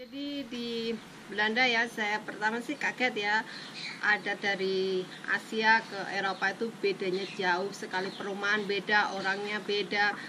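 Her intonation stays fairly even as she talks at a fairly slow pace, with noticeable background noise behind her. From Indonesia, village background. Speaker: vlogger, former migrant domestic worker. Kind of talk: personal storytelling vlog. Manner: halting. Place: open country. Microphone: phone near.

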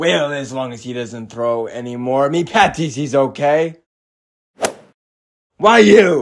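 Putting on a character voice at medium pitch, a man talks at a fairly slow pace with long, frequent pauses. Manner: gruff, sailorly, angry.

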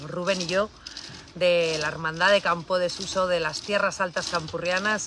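A woman at a moderate pace, with noticeable background noise and a dry sound with no echo. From Cantabria, Spain. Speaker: cattle farmer. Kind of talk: livestream chat. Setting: on a farm. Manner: animated. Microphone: phone near.

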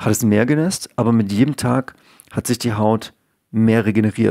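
Recorded with a dry, close sound with no echo and a silent background in a very clean recording, a man speaks at a moderate pace and medium pitch with lively intonation and a dark, mellow tone. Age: 30s. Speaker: YouTuber talking about health. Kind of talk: casual video monologue. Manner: hesitant, many filler sounds.

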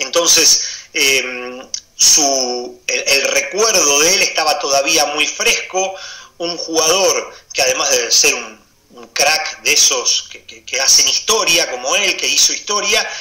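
A man speaks at a very slow pace with big swings in loudness. Audible room echo surrounds his voice. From Argentina. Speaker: basketball commentator. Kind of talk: interview. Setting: Instagram live video call. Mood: nostalgic, emotional recollection.

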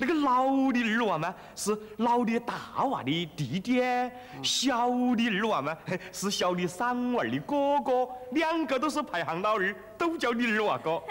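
A man speaks with a Chongqing accent at an extremely high pitch. His pace is fairly slow. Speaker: sitcom actor playing a country man. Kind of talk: TV comedy drama dialogue. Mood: playful, joking wordplay. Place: street.

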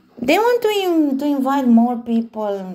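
Over noticeable background noise, a woman talks fairly slowly, her pitch varying in an ordinary way. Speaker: scambaiter posing as romance target. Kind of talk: casual phone chat.

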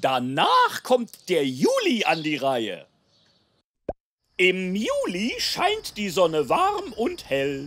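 A cartoonish character voice, fairly bright, with very wide pitch swings at a very slow pace over faint music in the background.

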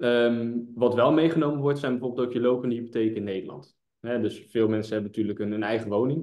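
Fast and fairly even in intonation, a man speaks at medium pitch with a dark, mellow tone.

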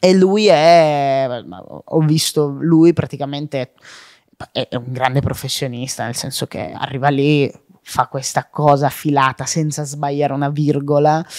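A man speaks at a fairly slow pace in a normal speaking voice. His pitch is fairly high, with fairly even intonation. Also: dry, close sound with no echo. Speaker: comedian and content creator. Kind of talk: casual interview.

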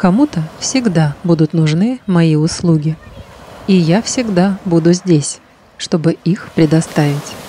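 Over noticeable background noise, a woman with a fairly low pitch speaks very slowly in a calm, soothing tone, with ordinary pitch variation and very even loudness. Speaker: hypnologist. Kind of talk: guided meditation.

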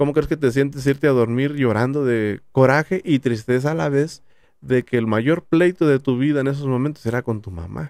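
With a dry sound, no echo and a quiet background, a man speaks at a moderate pace and medium pitch with ordinary pitch variation. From Jalisco, Mexico (Tamazula); Jalisco, Mexico. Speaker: YouTuber; podcast guest. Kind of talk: casual chat. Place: studio. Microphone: studio mic.

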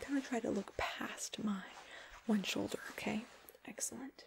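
A soft-spoken whisper in a gentle tone over light background noise. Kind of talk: directing a photo shoot. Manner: soft, gentle ASMR near-whisper. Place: home room.

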